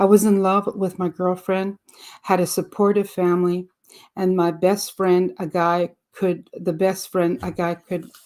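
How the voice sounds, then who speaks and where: A woman speaks with a French accent at a medium pitch. Her pace is fairly slow and her intonation is monotone and flat. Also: very clean recording, silent background. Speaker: audiobook reader. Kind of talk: reading aloud; casual introduction. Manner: halting, with fillers.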